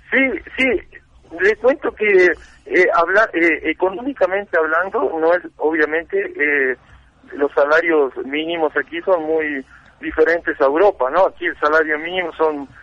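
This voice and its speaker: The pace is fairly slow. A man is talking, his pitch high. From Uruguay. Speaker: seeker of ancient wisdom. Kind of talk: interview.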